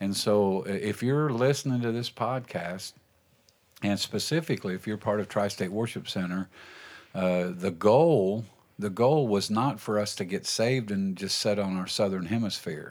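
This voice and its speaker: An ordinary speaking voice moves at a moderate pace in a very clean recording with a silent background. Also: man, fairly low pitch for a man, ordinary pitch variation. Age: 60s. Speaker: pastor and podcast host. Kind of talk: casual chat. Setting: studio.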